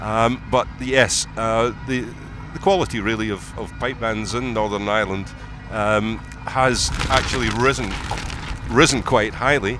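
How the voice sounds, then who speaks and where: Music plays in the background as a man speaks at a fairly slow pace. He has a Scottish accent, and audible room echo surrounds his voice. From Scotland, Edinburgh. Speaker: pipe band expert commentator. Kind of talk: live commentary.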